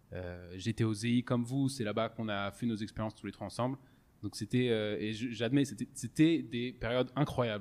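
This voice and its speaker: Recorded very cleanly over a silent background, the man's medium-pitched voice shows ordinary pitch variation. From France, Strasbourg (Alsace). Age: 20s. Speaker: podcast host, engineer. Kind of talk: casual chat. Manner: halting, many fillers and repetitions.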